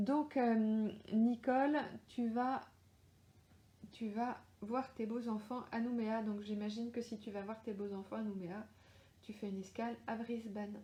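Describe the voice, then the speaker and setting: Very slow and somewhat breathy, a woman with a fairly high pitch and a dark, mellow tone speaks in a monotone, flat intonation, with long, frequent pauses. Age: 40s. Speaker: crime novelist. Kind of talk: live Q&A chat. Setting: Facebook live stream. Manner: hesitant, many fillers.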